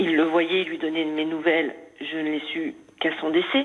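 Over noticeable background noise, a woman speaks fairly slowly in a fairly low pitch. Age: 50s. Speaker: caller. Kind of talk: personal testimony. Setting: phone call.

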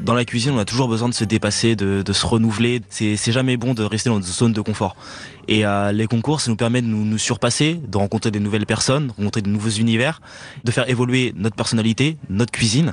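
Very fast and at a very even loudness, a man delivers his words. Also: medium pitch for a man, fairly even intonation. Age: 20s. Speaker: chef. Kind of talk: interview.

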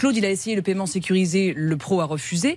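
At a fairly quick pace, a woman speaks in a somewhat breathy voice at medium pitch with ordinary pitch variation. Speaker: lawyer. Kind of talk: radio consumer advice. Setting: studio. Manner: indignant.

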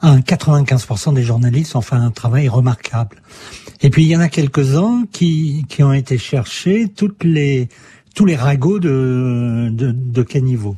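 A man talks very slowly in a somewhat breathy voice with a dark, mellow tone. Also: medium pitch for a man, ordinary pitch variation. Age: 60s. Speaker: journalist and author. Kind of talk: interview. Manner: hesitant, with fillers.

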